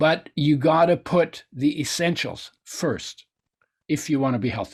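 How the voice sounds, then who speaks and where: A somewhat breathy voice in a German accent, fairly slow and fairly even in intonation. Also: man, fairly high pitch for a man. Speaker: nutrition expert and oil company founder. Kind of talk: interview.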